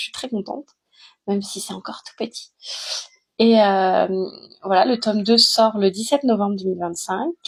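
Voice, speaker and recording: A woman speaks at a moderate pace with a medium, somewhat breathy voice, ordinary pitch variation, big swings in loudness and long, frequent pauses, on a very clean recording with a silent background. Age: 30s. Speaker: author. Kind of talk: casual self-introduction vlog. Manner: hesitant, many filler sounds.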